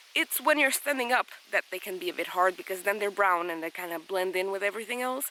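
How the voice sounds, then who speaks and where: A woman talks at a very fast pace with lively intonation and a medium pitch. Noticeable background noise is present. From Portugal. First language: Portuguese. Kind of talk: casual vlog talk to camera. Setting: outdoors in a forest.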